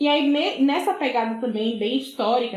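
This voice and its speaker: Amid noticeable background noise, a woman's fairly high pitch with ordinary variation. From Bahia, Brazil (Buerarema, southern Bahia). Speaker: social scientist and sociology teacher. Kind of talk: interview conversation.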